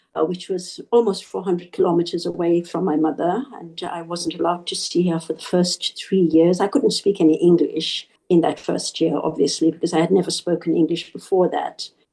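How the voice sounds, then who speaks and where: A woman with a Zimbabwean accent talks at a fairly quick pace and a fairly low pitch, with fairly even intonation and hardly any pauses. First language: Shona. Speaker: interview guest. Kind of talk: interview.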